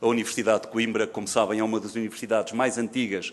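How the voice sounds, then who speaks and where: Words come out very fast from this man. His voice holds a medium pitch. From Portugal. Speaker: forensic medicine professor. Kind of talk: conference lecture. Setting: seminar stage with audience. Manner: formal.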